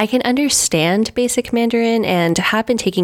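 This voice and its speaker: Using a plain, everyday voice, a woman with an American accent speaks at a moderate pace with lively intonation. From US West Coast, Los Angeles. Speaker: pastry chef. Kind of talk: casual interview chat. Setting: video call.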